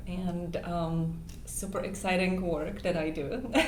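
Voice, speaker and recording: Speaking with a non-native accent at a medium pitch, a woman is heard over noticeable background noise and audible room echo. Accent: noticeable foreign. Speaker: dating coach and matchmaker. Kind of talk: interview. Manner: hesitant, many fillers.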